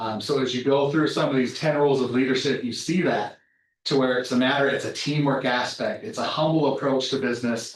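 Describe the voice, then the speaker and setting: Here is a man with an unremarkable speaking voice and a fairly high pitch. He talks at a fairly quick pace with fairly even intonation. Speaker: company manager speaking to a college class. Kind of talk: guest lecture to a class.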